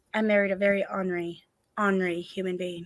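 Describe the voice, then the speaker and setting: This woman talks at a fairly quick pace and a medium pitch. Her tone is bright and sharp. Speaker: streamer and vlogger. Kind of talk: casual live stream Q&A. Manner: halting, many fillers.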